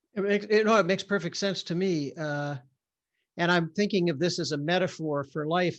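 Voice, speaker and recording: Over a quiet background, a man speaks at a moderate pace in a plain, everyday voice with ordinary pitch variation. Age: 60s. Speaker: neuroscientist and author. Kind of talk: interview conversation. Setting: video call.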